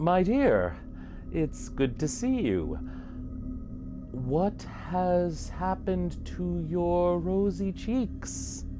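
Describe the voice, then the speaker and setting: Loud background noise sits behind a put-on character voice that moves at a very slow pace. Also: man. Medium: solo performance. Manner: forced politeness over fear.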